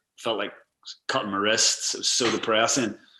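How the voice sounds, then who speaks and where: A man with a Northern Irish accent speaks in a bright, sharp tone. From Northern Ireland. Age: 30s. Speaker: travel blogger and adventurer. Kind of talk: casual interview chat. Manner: fast, filler-heavy with repeated words.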